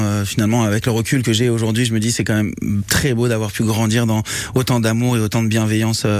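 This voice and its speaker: Against noticeable background noise, a man of medium pitch speaks at a fairly quick pace in a monotone, flat intonation. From Mauritius. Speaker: singer-songwriter. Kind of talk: radio interview. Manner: halting, many repetitions and fillers.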